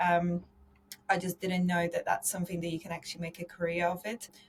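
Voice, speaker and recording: A woman with a slight Polish accent speaks at a medium pitch. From Poland. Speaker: insurance consultant and podcast host. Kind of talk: podcast interview.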